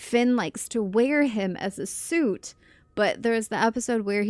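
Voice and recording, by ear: Pitch moves in an ordinary way. The clip is reading aloud in a natural voice.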